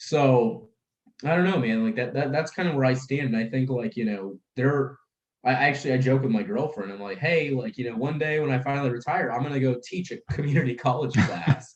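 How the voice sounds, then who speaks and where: The speaker has an American accent and a somewhat breathy voice, talking at a fairly quick pace with lively intonation. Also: man, medium pitch for a man. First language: Russian. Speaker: life insurance brokerage founder. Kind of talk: casual podcast chat. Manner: animated.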